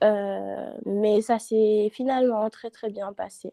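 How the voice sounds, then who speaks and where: A woman's dark, mellow tone in a dry, close sound with no echo. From Senegal. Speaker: student. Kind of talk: casual chat.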